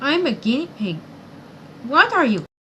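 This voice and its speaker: A woman puts on a squeaky character voice pitched high. Her pitch swings very widely. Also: moderate pace. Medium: read story.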